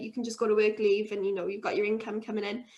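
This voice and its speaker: A woman speaks with a Welsh accent. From Wales, Swansea. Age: 20s. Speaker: brewery co-founder. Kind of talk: interview.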